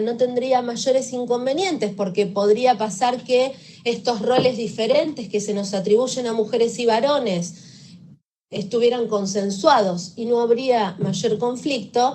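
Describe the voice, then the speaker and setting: This woman's voice has a fairly high pitch and a dark, mellow tone. She speaks fairly slowly with ordinary pitch variation. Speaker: victim assistance professional. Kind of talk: lecture.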